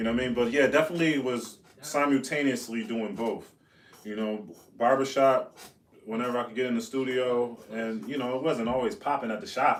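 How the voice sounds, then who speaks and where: A man with an American accent talks at a fairly quick pace and medium pitch. His pitch varies in an ordinary way, with audible room echo. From US Northeast, Buffalo, New York. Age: 30s. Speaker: rapper and barber. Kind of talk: podcast interview. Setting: live-streamed podcast studio. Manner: animated.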